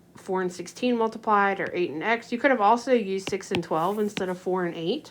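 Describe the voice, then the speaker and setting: A woman with a plain, everyday voice speaks at a fairly quick pace, her pitch medium with ordinary variation. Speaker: math teacher. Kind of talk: tutorial. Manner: casual with many fillers.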